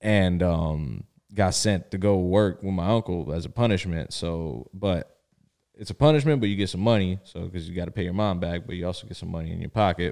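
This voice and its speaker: In a Miami accent, the voice moves at a fairly quick pace with a dark, mellow tone and ordinary pitch variation. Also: man, very deep, low pitch for a man. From South Florida (Miami), born in Connecticut. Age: 20s. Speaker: podcast co-host. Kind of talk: casual chat.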